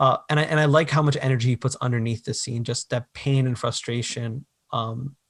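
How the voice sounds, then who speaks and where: Recorded dry and close with no echo, a man talks fairly quickly in a somewhat breathy, medium-pitched voice. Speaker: podcast host. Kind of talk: casual chat. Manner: animated.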